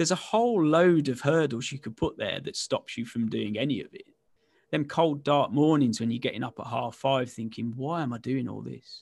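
A man speaks with a West Midlands accent. His pitch is medium. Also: ordinary pitch variation, moderate pace. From West Midlands, England. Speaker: recruitment entrepreneur and author. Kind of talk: casual interview.

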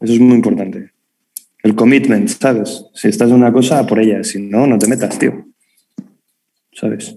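A man with a Madrid accent speaks at a moderate pace. His tone is dark and mellow, and his intonation fairly even. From Madrid, Spain. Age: 30s. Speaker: sports gear designer. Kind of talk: casual chat. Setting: video call.

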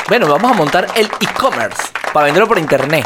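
A man's animated voice with very wide pitch swings. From Venezuela. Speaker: podcast host and YouTuber. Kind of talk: casual chat. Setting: studio.

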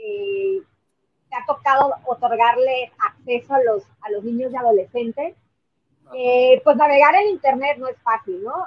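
This woman talks at a fairly slow pace with a high pitch. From Mexico. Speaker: podcast host and activist. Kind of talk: interview.

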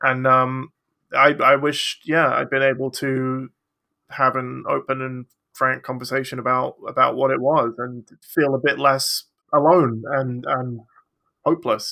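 Fairly slow and flat in a monotone, a man talks with an English accent and a bright, sharp tone. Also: medium pitch for a man. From England. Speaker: children's picture book illustrator. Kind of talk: casual chat.

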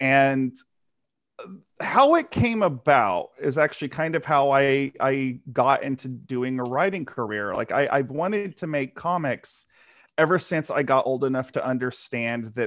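A man with a Texan accent at a medium pitch, lively in intonation and fairly slow in pace, against a quiet background. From rural Texas. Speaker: comic book writer. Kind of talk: interview. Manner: halting, with many repeated words.

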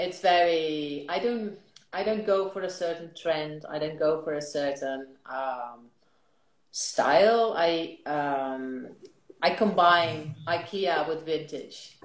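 A woman speaks very slowly at a fairly low pitch with a Dutch accent. Her pitch varies in an ordinary way, and the room echo is audible. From Netherlands. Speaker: lifestyle blogger. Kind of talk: casual interview.

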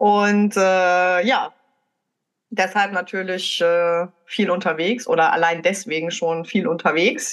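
Against a quiet background, the speech moves at a very slow pace with ordinary pitch variation and very even loudness. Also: woman, medium pitch for a woman. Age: 30s. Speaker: podcast co-host. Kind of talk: casual chat.

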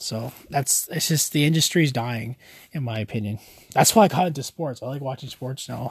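Somewhat breathy, a man with a Canadian accent speaks at a fairly quick pace and a medium pitch with ordinary pitch variation. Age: 20s. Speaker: podcast host. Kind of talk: casual solo podcast talk.

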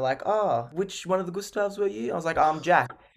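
Talking at a very fast pace, a man with an Australian accent uses lively intonation. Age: 20s. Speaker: musical theatre actor. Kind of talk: interview.

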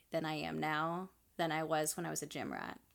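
Recorded very cleanly against a silent background, a woman with a fairly low pitch and a normal speaking voice talks at a moderate pace. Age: 20s. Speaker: podcast co-host. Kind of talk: casual chat.

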